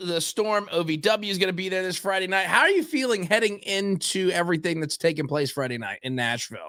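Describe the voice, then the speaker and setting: In a very clean recording with a silent background, a man with a high pitch uses a raised, projected voice, a bright, sharp tone and lively intonation at a moderate pace. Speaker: podcast host. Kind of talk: interview.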